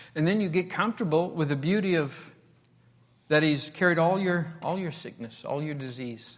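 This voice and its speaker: A man speaks in a fairly high pitch with ordinary pitch variation at a moderate pace. Long, frequent pauses break up his speech, and audible room echo surrounds it. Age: 60s. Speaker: travelling preacher. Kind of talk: sermon. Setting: church. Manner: repetitive, halting speech.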